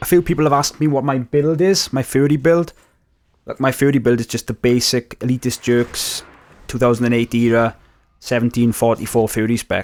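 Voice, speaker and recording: A man with a Welsh accent at a medium pitch, ordinary pitch variation and a fairly quick pace, in a very clean recording with a silent background and a dry, close sound with no echo. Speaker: gaming youtuber. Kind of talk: gameplay commentary. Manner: casual, conversational.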